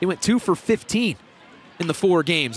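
A raised, projected voice at a moderate pace, with ordinary pitch variation over noticeable background noise. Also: man. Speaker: color commentator. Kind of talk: live baseball color commentary, analyzing pitches. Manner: measured, analytical, conversational.

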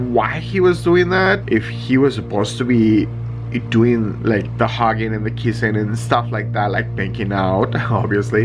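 With music in the background, a man speaks at a fairly slow pace. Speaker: vlogger. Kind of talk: casual vlog chat, personal story. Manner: drowsy, low voice, lying on pillow. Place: home room. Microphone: phone near.

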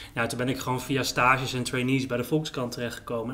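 Over light background noise, a man speaks very fast in a monotone, flat intonation. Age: 30s. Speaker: writer and journalist; interview guest, journalist. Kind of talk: casual chat.

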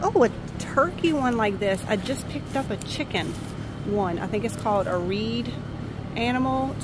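A woman speaks at a moderate pace in a dry sound with no echo, over noticeable background noise. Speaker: thrift shopper vlogger. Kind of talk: casual vlog chat. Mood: excited, cheerful. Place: market. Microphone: phone near.

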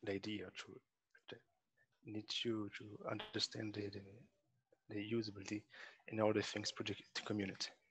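Here a man with a Portuguese accent speaks at a moderate pace. His pitch is fairly low, and the sound is dry with no echo. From Brazil. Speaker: architecture student; audience member. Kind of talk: audience question. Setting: video call. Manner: halting. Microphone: video call.

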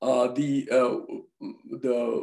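A quiet background behind a man's voice. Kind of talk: opening remarks. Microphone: video call.

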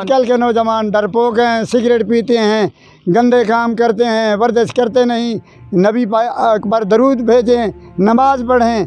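In a dry recording with no echo and faint music in the background, a man speaks at an extremely high pitch with fairly even intonation and very even loudness. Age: 80s+. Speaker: fitness enthusiast. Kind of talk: interview answer. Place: garden. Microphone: handheld.

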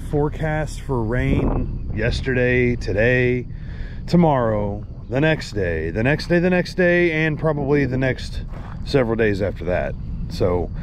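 Over noticeable background noise, a man talks at a fairly slow pace with a dry sound and no echo. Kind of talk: casual vlog chat. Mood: relaxed, waiting. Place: open country. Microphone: phone near.

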